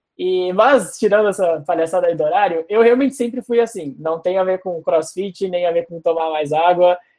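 A man with a strong Porto Alegre accent talks at a moderate pace with hardly any pauses. His pitch is high, with ordinary variation. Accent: strong Porto Alegre (gaúcho). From Porto Alegre, southern Brazil. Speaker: product manager. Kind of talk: casual interview.

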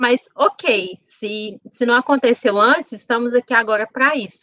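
A woman's bright, sharp tone at a fairly high pitch, fairly slow pace and ordinary pitch variation, in a dry, close sound with no echo. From Contagem, Minas Gerais, Brazil. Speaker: HR professional and food entrepreneur. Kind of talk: interview.

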